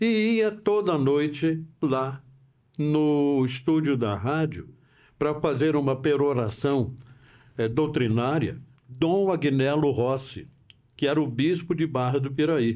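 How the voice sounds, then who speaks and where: A man speaks very slowly in a fairly high voice with a dark, mellow tone and very even loudness. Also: ordinary pitch variation. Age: 80s+. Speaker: veteran radio broadcaster. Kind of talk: podcast interview storytelling.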